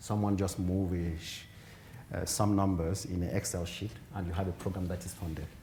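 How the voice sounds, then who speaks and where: In a very deep, low, somewhat breathy voice with a dark, mellow tone, a man talks at a fairly quick pace with flat, monotone intonation, and room echo is audible. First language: African mother tongue, then French. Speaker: genetics professor, keynote speaker. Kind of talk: conference Q&A answer. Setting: conference hall, also streamed online. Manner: halting, with repetitions and fillers.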